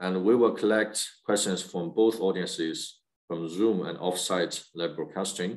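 A man speaks with a very deep, low pitch at a fairly slow pace. His intonation is fairly even, over a quiet background. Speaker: webinar host. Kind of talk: webinar moderation. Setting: video call. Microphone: video call.

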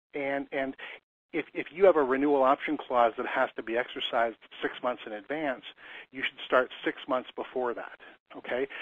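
With fairly even intonation, a man uses a normal speaking voice at a medium pitch and moderate pace. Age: 50s. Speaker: commercial lease consultant. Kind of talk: webinar.

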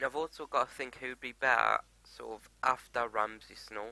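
In a slight Geordie accent, a man speaks at a moderate pace with ordinary pitch variation and a bright, sharp tone, the sound dry with no echo. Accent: mild Geordie. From Newcastle, northern England. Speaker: gaming YouTuber. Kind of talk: let's play commentary. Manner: animated, jokey and sweary. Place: home room. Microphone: headset.

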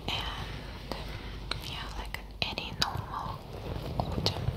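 A woman whispers. Her pace is very slow. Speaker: ASMR creator. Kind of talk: casual soft-spoken chat. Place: home room. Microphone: studio mic.

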